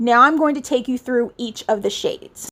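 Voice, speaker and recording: This woman speaks in a high voice with ordinary movement in pitch. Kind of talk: makeup review voiceover. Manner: casual, enthusiastic.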